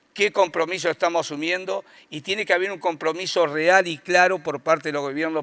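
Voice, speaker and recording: This man has a fairly high pitch and a bright, sharp tone, speaking at a fairly quick pace with ordinary pitch variation. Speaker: rural producers' association representative. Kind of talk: conference talk.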